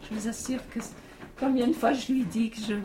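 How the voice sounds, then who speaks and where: A woman's high pitch in monotone, flat intonation, with noticeable background noise. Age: 60s. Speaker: retiree, electro-sensitive. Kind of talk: interview testimony. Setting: inside a mountain cave.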